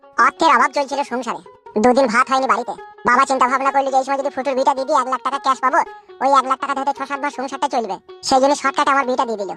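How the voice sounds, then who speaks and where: Faint music plays behind a cartoonish character voice rattling along at a very fast pace. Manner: whining, rustic slang.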